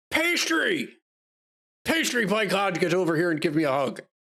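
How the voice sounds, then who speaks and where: A put-on character voice at a middle pitch and moderate pace. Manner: jovial.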